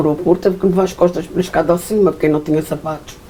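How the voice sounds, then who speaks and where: A woman with a fairly low voice talks very fast, keeping her intonation fairly flat. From Azores, São Miguel. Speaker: Portuguese immigrant interviewee. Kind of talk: interview.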